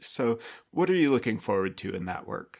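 Very clean recording of a man at medium pitch, an ordinary speaking voice, at a fairly quick pace against a silent background. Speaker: podcast host. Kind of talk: interview, conversational.

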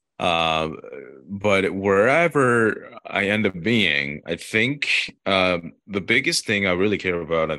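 A man with a Korean accent, bright and sharp in tone, with lively intonation at a fairly slow pace against a quiet background. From South Korea. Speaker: TV news reporter. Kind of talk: interview. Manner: hesitant, many filler words.

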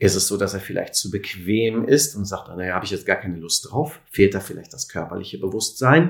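His voice is somewhat breathy. The man speaks at a fairly quick clip. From Sauerland, Germany (Lüdenscheid). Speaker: physiotherapist and alternative practitioner. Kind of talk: interview.

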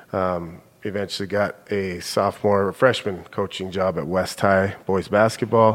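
On a very clean recording with a silent background, a man with an American accent speaks in a flat monotone at a fairly low pitch, keeping a moderate pace with hardly any pauses. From Billings, Montana, US. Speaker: middle school principal. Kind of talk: casual chat.

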